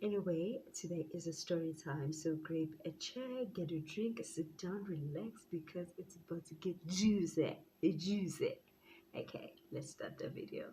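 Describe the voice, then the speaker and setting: A woman speaks at a fairly slow pace in a fairly low, somewhat breathy voice with a dark, mellow tone and ordinary pitch variation. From South Africa. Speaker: YouTuber. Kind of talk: storytime vlog. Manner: casual.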